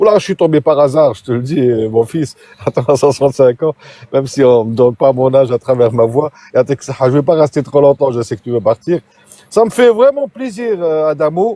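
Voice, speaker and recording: Recorded with a dry, close sound and no echo, a man with a fairly high pitch and lively intonation speaks at a moderate pace. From Algeria, Algiers. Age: 60s. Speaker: caller. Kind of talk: casual chat. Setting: TikTok live. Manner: halting, many hesitations.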